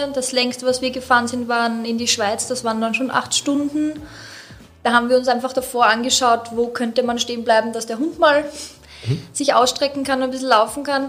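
Over noticeable background noise, a woman speaks in a high pitch with monotone, flat intonation at a moderate pace. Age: 30s. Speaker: dog owner. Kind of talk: casual interview. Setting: studio.

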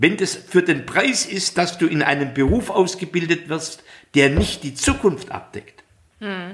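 Very slow in pace, a man speaks with a high pitch. His intonation is lively. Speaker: podcast co-host, politician. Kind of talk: casual chat.

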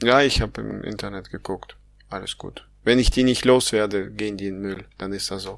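On a very clean recording with a silent background, a man with an unremarkable speaking voice and fairly low pitch talks at a moderate pace with fairly even intonation and big swings in loudness. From Kazakhstan. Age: 30s. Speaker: podcast co-host. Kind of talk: casual chat.

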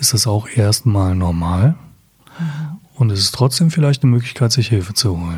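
The speaker is a man at a medium pitch. He talks at a moderate pace. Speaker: psychotherapist. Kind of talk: interview.

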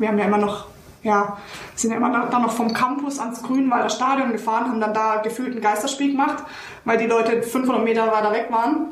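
A woman with a Bavarian accent talks at a moderate pace with a fairly high pitch and fairly even intonation. Noticeable background noise and audible room echo surround her voice. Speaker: former professional footballer. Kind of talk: casual chat. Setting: video call.

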